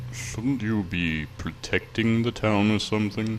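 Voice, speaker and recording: A man puts on a character voice, pitched fairly low, with ordinary pitch variation. He speaks at a fairly slow pace over clear background noise. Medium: game stream.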